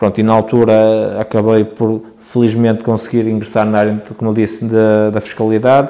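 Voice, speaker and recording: A man talks at a moderate pace with hardly any pauses, in a medium pitch. His tone is dark and mellow, his intonation flat and monotone. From northern Portugal, Barcelos. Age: 30s. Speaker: young entrepreneur, shop owner. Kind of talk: podcast interview. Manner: hesitant, many fillers and repetitions.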